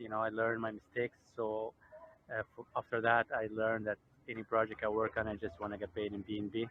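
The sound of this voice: A man's fairly low voice, monotone and flat, in a dry, close sound with no echo.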